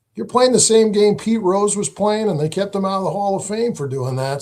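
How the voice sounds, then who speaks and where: With an American accent, a man speaks in very wide pitch swings. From New England (western Massachusetts). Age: 60s. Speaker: political candidate. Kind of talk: live interview.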